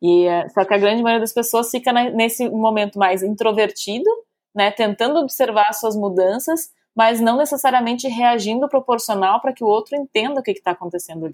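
A woman's plain, everyday voice, fairly high in pitch with ordinary pitch variation, at a fairly quick pace over a very clean recording with a silent background. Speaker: psychologist and podcast co-host. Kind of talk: casual chat.

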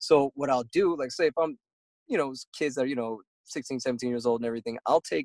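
A man speaks at a very fast pace in a dry, close sound with no echo. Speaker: teacher and author. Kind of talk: casual interview chat. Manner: high energy; hesitant with fillers.

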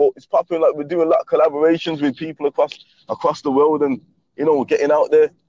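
A man with a Birmingham accent, the sound dry and close with no echo. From England, Birmingham. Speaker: aspiring rapper calling in. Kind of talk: casual chat. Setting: phone call. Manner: halting, repeating words.

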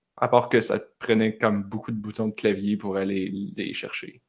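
Against a quiet background, a man talks at a moderate pace with vocal fry. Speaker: podcast host. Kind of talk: casual chat. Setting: video call. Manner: animated.

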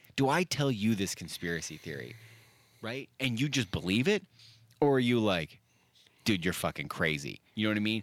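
Fairly low in pitch with vocal fry, a man speaks at a moderate pace with very wide pitch swings and long, frequent pauses, in a very clean recording with a silent background. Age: 30s. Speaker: podcast co-host, coffee reviewer. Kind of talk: casual chat. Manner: animated.

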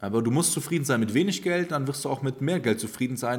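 A man with a normal speaking voice talks at medium pitch. His pitch varies in an ordinary way. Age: 20s. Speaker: stock market investor and finance coach. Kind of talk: casual monologue.

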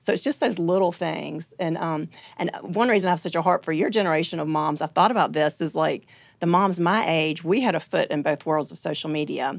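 A woman speaks in a Southern US accent at a fairly quick pace, her pitch fairly low. Her pitch varies in an ordinary way on a very clean recording with a silent background. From US South (Alabama). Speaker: author and speaker. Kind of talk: casual chat.

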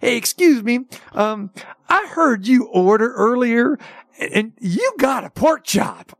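A put-on character voice, female-sounding and high-pitched, in a Texas accent at a very slow pace.

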